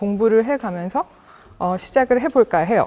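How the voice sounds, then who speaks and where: A woman speaks with an American accent and a fairly high pitch. Her pitch swings very widely. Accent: non-native Korean, Korean American. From United States (Korean American, emigrated from Busan as a child). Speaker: media artist and researcher, lecturer. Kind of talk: lecture. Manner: halting, many fillers.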